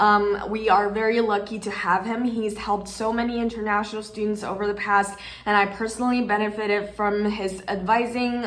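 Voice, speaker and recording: Over noticeable background noise and audible room echo, a woman speaks at a fairly quick pace and medium pitch. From China. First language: Chinese. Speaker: video host. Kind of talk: scripted introduction.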